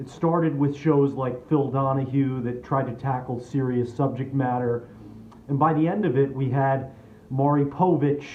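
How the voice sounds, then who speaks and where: Against noticeable background noise, a man at medium pitch talks at a moderate pace with fairly even intonation. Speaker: spoken word performer. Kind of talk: comedic personal storytelling monologue.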